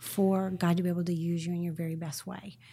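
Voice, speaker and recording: Heard in a very clean recording with a silent background, a woman's voice is dark, mellow and somewhat breathy. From Northern California. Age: 50s. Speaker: marketing and branding consultant. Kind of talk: interview conversation.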